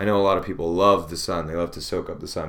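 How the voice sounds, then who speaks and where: Fairly even intonation from a male speaker. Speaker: podcast host. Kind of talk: solo monologue. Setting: alone in a room. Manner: casual, filler-heavy.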